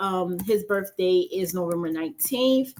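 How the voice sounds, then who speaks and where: The speech comes at a fairly slow pace in an ordinary speaking voice with ordinary pitch variation. The recording is very clean, with a silent background. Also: woman. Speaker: finance YouTuber and nurse. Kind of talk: casual planning walkthrough.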